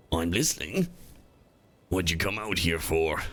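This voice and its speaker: A put-on character voice. It moves at a moderate pace. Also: man, very deep, low pitch for a man. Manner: calm, listening.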